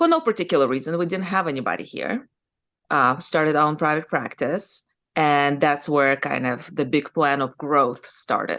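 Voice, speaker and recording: A woman with a Russian accent talks at a moderate pace against a quiet background. Her pitch is very deep and low, with ordinary variation. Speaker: surgeon and business owner. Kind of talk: podcast interview. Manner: casual, conversational.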